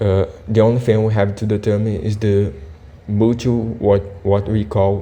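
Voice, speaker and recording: Speaking with a non-native accent, a man has a dark, mellow tone and a fairly low pitch. His pace is fairly slow and his intonation fairly even. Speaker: physics tutor. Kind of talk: tutorial. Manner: halting, many fillers.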